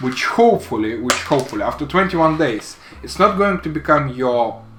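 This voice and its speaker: With music playing in the background, a man speaks with a non-native accent. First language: not English. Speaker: woodworking hobbyist / vlogger. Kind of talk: casual product demo vlog. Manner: halting, many fillers and repeats.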